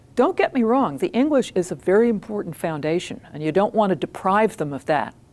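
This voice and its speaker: A woman with an American accent speaks fairly quickly at a medium pitch, her voice making very wide pitch swings. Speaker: retired ambassador. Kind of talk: interview.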